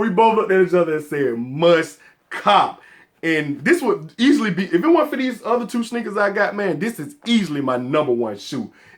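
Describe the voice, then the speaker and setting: Someone with an American accent talks in an animated tone at a moderate pace. The pitch swings very widely. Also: man. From US South, Atlanta, Georgia. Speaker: sneaker collector YouTuber. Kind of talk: casual vlog talk to camera.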